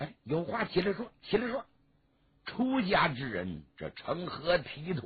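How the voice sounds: Putting on a character voice, a man speaks at a fairly high pitch with a husky, rough edge. His delivery is fairly slow, with very wide pitch swings.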